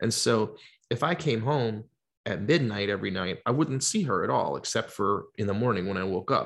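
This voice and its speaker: Over a quiet background, a man with an American accent talks at a moderate pace in a fairly low pitch, with vocal fry and lively intonation. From US South, Georgia (Atlanta). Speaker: singer-songwriter. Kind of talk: casual chat.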